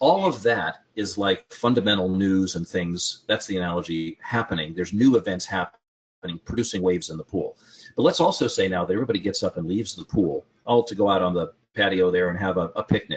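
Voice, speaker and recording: Using a normal speaking voice, a man moves at a fairly quick pace. The pitch sits fairly low and varies in an ordinary way. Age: 60s. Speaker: trading educator. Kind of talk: casual chat.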